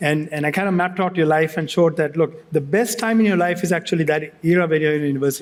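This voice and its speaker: A man with a Sri Lankan accent talks at a very fast pace, his fairly high pitch paired with fairly even intonation and very even loudness. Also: hardly any pauses. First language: Sinhala. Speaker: tech company executive. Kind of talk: fireside chat on stage. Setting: stage with audience. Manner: halting, with many restarts.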